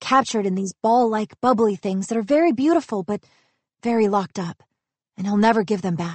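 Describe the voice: Ordinary pitch variation in plain reading aloud, set against a quiet background.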